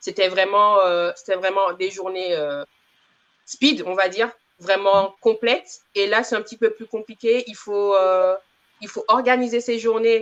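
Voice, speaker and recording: This woman has an unremarkable speaking voice at a medium pitch, with ordinary pitch variation and a fairly slow pace. Her loudness swings widely. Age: 30s. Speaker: community manager, former medical secretary. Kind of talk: interview.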